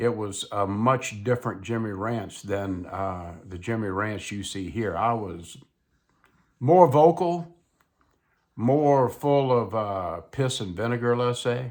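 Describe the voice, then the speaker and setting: A man with a Mississippi accent speaks very slowly in a relaxed tone with lively intonation. The recording is very clean, with a silent background. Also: medium pitch for a man. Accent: Southern US (Mississippi). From US South, South Mississippi. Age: 70s. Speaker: YouTuber, retired widower vlogger. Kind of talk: casual monologue vlog. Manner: relaxed, slow conversational.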